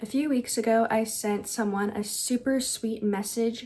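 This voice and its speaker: A soft-spoken woman talks at a moderate pace in a fairly high pitch. Her tone is dark and mellow, and somewhat breathy. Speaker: lifestyle and self-help youtuber. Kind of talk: vlog-style advice monologue. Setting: at home at night. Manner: soft, quiet delivery.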